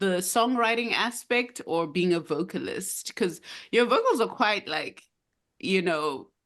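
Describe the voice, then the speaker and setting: In a normal speaking voice, a woman speaks at a medium pitch. Her pace is fairly slow and her intonation lively. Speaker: podcast host. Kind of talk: podcast conversation.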